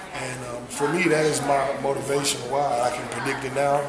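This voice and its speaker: A man amid loud background noise. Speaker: interviewee. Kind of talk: interview answer. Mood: earnest, reflective. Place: hall. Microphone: camera far.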